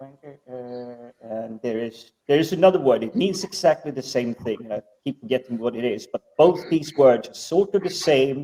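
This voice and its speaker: Talking at a moderate pace with hardly any pauses, a man with a fairly high pitch uses lively intonation and big swings in loudness. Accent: non-native. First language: not English. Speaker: podcast guest. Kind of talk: casual chat.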